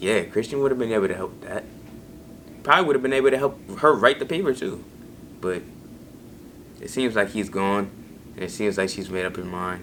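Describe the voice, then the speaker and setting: Talking at a fairly quick pace, a man's pitch swings very widely. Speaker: YouTube TV reaction host. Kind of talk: casual TV episode reaction commentary. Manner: casual, conversational.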